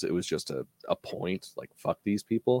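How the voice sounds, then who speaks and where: The sound is dry and close, without any echo. This man speaks in an American accent. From Utah, US. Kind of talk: casual chat.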